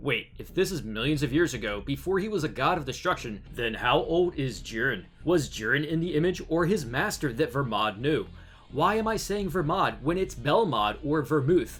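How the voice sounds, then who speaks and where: A man with an American accent speaks at a fairly high pitch, his intonation lively. He keeps a moderate pace with hardly any pauses while music plays in the background. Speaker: YouTube anime theory narrator. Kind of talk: scripted narration.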